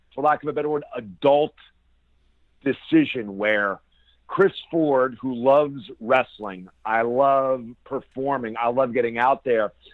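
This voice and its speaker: A man with a normal speaking voice at medium pitch, ordinary pitch variation and a fairly slow pace. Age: 40s. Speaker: professional wrestler. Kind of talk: interview.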